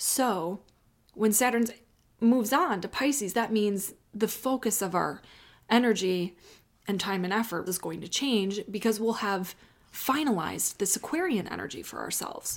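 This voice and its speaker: A woman with an American accent speaks in a plain, everyday voice at a medium pitch and moderate pace. Her intonation is lively, and the recording is very clean with a silent background. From US Midwest, Chicago. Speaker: astrologer. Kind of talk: solo astrology reading. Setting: home office, off usual filming spot.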